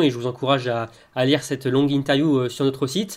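In a very clean recording with a silent background, a man with an ordinary speaking voice talks at a fairly quick pace, medium in pitch, with fairly even intonation. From Brittany. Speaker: podcast co-host. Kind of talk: casual chat.

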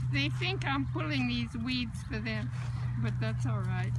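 Loud background noise surrounds a woman whose voice sounds dry, with no echo. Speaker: elderly woman tending pasture. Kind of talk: casual talk while gardening. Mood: cheerful, amused. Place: open country. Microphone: phone near.

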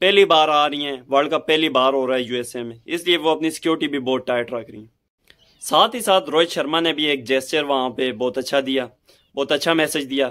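Quiet surroundings and a male voice with ordinary pitch variation. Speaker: cricket fan vlogger. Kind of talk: casual vlog commentary. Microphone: phone near.

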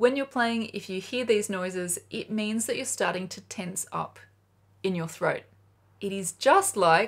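Lively intonation in an Australian accent, with big swings in loudness over a quiet background. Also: woman. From Australia, Sydney. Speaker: flute teacher. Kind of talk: tutorial. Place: home room.

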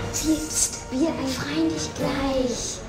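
Very slow speech from a woman, music playing behind her. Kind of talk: amateur radio play dialogue.

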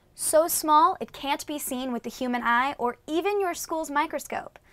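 With music in the background, a woman speaks at a moderate pace in a high pitch, her voice making very wide pitch swings. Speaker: educational show host. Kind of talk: presenter to camera. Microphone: lapel.

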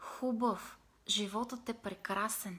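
This woman's fairly high voice moves at a very slow pace with fairly even intonation. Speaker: meditation and self-help vlogger; self-help vlogger. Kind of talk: motivational live video talk. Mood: calm, warm, expressive. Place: home room. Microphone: phone near.

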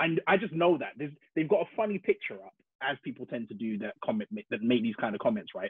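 Energetic and very fast, the voice makes very wide pitch swings and big swings in loudness, with a dry sound with no echo over a quiet background. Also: man. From London, England. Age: 30s. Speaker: illustrator; podcast guest. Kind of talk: casual interview. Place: home room.

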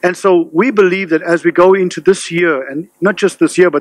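In a quiet background with dry sound and no echo, a man speaks at a moderate pace in a high pitch for a man, with ordinary pitch variation. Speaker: pastor. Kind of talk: sermon. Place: church. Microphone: podium.

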